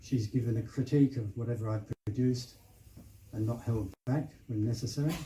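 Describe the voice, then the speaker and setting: Somewhat breathy speech in a dark, mellow tone moves at a fairly quick pace with fairly even intonation. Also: man, medium pitch for a man. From southeast England. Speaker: novelist. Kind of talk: acknowledgement speech at book launch.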